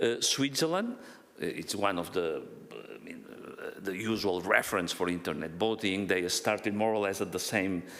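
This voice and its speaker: Heard with audible room echo, a man speaks at a fairly low pitch and a moderate pace. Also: ordinary pitch variation. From Catalonia, Spain. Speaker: internet voting researcher. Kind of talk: conference talk. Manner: halting, many fillers and repetitions.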